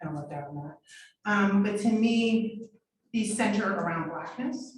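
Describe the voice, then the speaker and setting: A woman's fairly high voice with a New York accent, lively intonation, big swings in loudness and a fairly slow pace. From New York City, Harlem. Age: 40s. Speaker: artist and photography professor. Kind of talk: artist talk. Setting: gallery with live audience, also streamed.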